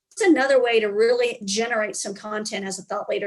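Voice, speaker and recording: A woman in a strong Southern accent, a fairly quick pace, lively intonation and a fairly high pitch. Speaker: business consultant and speaker. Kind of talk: casual interview.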